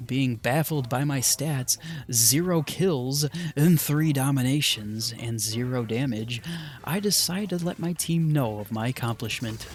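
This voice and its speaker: At a fairly slow pace, an ordinary speaking voice moves through ordinary pitch variation. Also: man, medium pitch for a man. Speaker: gaming youtuber. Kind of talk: gameplay commentary narration.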